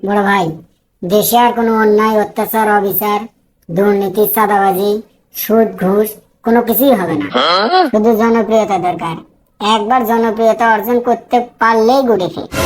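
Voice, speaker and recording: A woman does a cartoonish character voice, fairly high in pitch with fairly even intonation. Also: moderate pace. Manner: eager, flattering.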